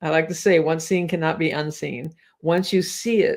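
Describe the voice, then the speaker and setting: In a very clean recording with a silent background, a woman talks at a moderate pace with a fairly low pitch. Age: 70s. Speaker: hypnotherapist and anxiety coach. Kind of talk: personal vlog talk to camera. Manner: warm, conversational.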